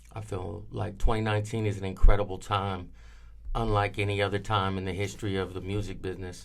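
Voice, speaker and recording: A man talks at a very fast pace in a fairly low, monotone, flat voice. Audible room echo surrounds him. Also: big swings in loudness. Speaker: music industry veteran. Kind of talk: interview. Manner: loud.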